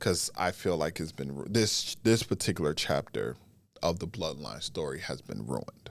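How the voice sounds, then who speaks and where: A man talks at a fairly slow pace with vocal fry. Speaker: wrestling podcast host. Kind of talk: casual podcast commentary.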